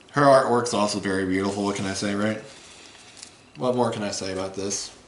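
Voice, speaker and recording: There is audible room echo and noticeable background noise. A man talks at a fairly quick pace in a fairly low voice. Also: fairly even intonation. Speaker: card game YouTuber. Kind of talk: deck profile tutorial. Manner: fast; casual, halting with fillers.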